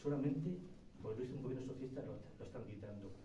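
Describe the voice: The speech moves at a very fast pace with ordinary pitch variation and audible room echo. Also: man, medium pitch for a man.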